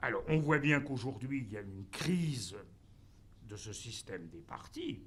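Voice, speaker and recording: In a room with audible echo, a man speaks fairly slowly in a somewhat breathy voice whose pitch swings very widely. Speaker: professor. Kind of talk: conference talk. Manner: halting, many fillers.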